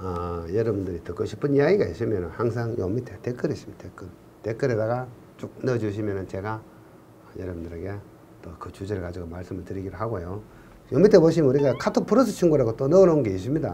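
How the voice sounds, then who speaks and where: A man at a very fast pace, fairly low pitch, lively intonation and big swings in loudness, with a Gyeongsang accent and audible room echo. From Gyeongsang region, Korea. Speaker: civil engineering exam lecturer. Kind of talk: online lecture. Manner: casual, joking.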